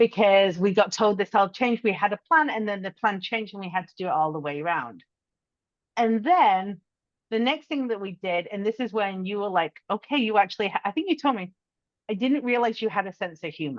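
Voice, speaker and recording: A woman with an English accent, medium pitch and lively intonation, at a fairly quick pace with big swings in loudness and a dry, close sound with no echo. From England. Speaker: podcast co-host, business owner. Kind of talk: casual chat.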